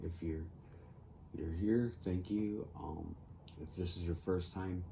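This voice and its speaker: A man with an American accent speaks at a very slow pace in a very deep, low voice, his intonation fairly even, with audible echo from the room. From US Northeast (upstate New York). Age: 50s. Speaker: crafting youtuber. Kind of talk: casual chat while crafting. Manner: halting, many fillers.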